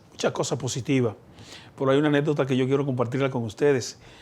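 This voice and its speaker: A man rattles along at a very fast pace. His medium-pitched voice keeps fairly even intonation. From Dominican Republic, Elías Piña. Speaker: politician, senator. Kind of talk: interview.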